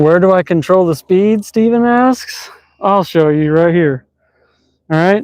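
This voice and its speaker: Using a Texas accent, a man with a high-pitched voice talks at a fairly slow pace with ordinary pitch variation. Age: 30s. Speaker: YouTuber, bus builder. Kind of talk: live stream vlog. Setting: outdoors on a dam, riding electric board. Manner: casual, chatty.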